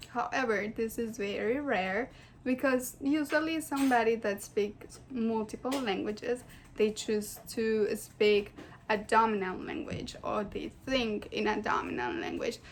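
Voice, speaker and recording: A woman talks at a fairly slow pace with a strong non-native accent. Her pitch is fairly high, with ordinary pitch variation. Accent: thick foreign. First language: Spanish. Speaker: student. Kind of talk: class presentation. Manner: casual, hesitant with fillers.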